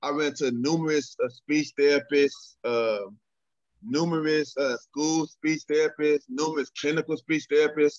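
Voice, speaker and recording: At a moderate pace, a man with a Texan accent speaks at a fairly high pitch. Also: ordinary pitch variation. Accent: Texan American English. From Texas, San Antonio. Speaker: political candidate. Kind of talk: interview. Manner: halting.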